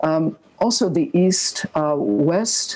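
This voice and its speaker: A woman speaks with a dark, mellow tone. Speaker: architect presenting a master plan. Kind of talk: project presentation. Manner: halting, many filler words.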